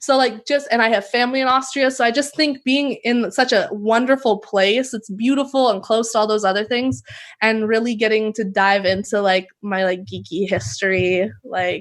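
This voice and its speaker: A woman's fairly high voice at a moderate pace, with ordinary pitch variation, hardly any pauses and a quiet background. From Canada, Vancouver B.C. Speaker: professional basketball player. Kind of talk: casual interview.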